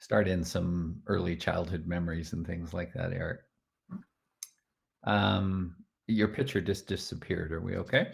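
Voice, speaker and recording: A man with a Canadian accent speaks in a very deep, low pitch with vocal fry and lively intonation. He keeps a moderate pace and makes long, frequent pauses. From Canada, Edmonton, Alberta. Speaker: group facilitator. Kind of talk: interview. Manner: hesitant, many fillers.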